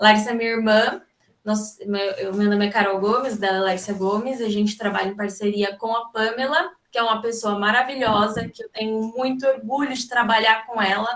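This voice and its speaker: A woman's fairly high voice at a moderate pace, fairly even in intonation, with hardly any pauses. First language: Brazilian Sign Language (speaking Portuguese). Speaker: sign language interpreter. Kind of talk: seminar talk. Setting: video call.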